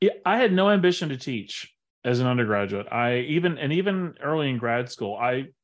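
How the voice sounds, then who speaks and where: Here a man speaks in an animated tone with ordinary pitch variation. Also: quiet background. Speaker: biology professor. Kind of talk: casual interview. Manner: outgoing, animated.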